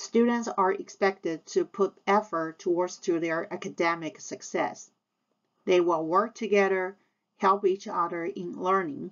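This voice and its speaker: A woman speaks in a Taiwanese accent at a medium pitch. Her pace is fairly slow, and her pitch varies in an ordinary way. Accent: Taiwanese Mandarin-accented English. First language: Mandarin Chinese. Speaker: high school Chinese teacher. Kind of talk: scripted presentation to parents. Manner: formal.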